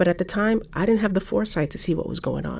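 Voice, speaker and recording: Vocal fry runs through this woman's voice. She speaks at a fairly quick pace with ordinary pitch variation. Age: middle-aged. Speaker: strategy consultant and podcaster. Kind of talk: personal podcast monologue.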